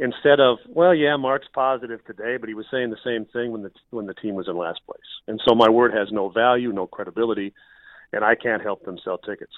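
A man with an unremarkable speaking voice talks at medium pitch and a fairly quick pace, with ordinary pitch variation and big swings in loudness. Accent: American. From Minnesota, US Midwest. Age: 50s. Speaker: radio play-by-play broadcaster. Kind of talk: casual interview.

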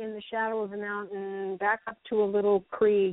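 Someone talks at a fairly slow pace in a normal speaking voice. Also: woman. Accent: American. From North Carolina. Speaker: editor and researcher. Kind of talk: interview.

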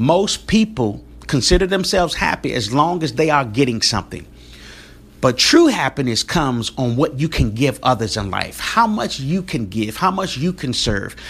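Speaking at a moderate pace with vocal fry, this voice swings very widely in pitch. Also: man, fairly high pitch for a man. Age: 40s. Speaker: podcast host. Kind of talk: motivational monologue.

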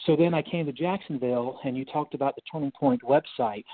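A man speaks with an American accent at a fairly quick pace. He has a normal speaking voice. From North Carolina. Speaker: retired naval officer. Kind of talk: radio interview.

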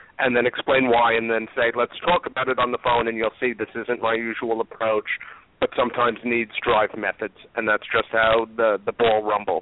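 A man with a New York accent talks at a moderate pace and medium pitch. His intonation is monotone and flat, and his loudness very even. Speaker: recruiter. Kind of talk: casual chat.

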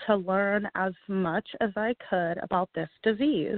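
A woman's unremarkable speaking voice, medium in pitch with ordinary pitch variation, in an American accent. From Texas, Houston. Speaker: patient advocate. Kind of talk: interview.

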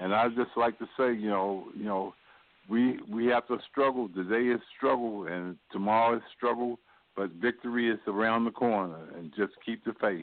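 At a moderate pace, a man with an ordinary speaking voice talks at a medium pitch and fairly even intonation. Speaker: socialist activist, political panelist. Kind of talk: political panel discussion.

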